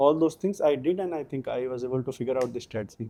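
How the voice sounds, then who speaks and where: With a north Indian accent, a man speaks at a fairly quick pace. His tone is dark and mellow. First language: Hindi. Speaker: civil services exam topper. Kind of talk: interview. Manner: halting.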